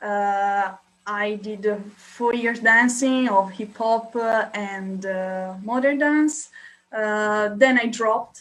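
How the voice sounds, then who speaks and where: A woman with an Italian accent speaks at a very slow pace, her fairly high pitch following fairly even intonation. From Italy. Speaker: dancer and student. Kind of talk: casual interview. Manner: hesitant, many fillers.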